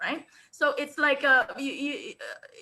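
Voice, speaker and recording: A woman speaks in a raised, projected voice with a bright, sharp and animated tone. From Singapore. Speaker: international speaker and business coach. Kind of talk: webinar interview.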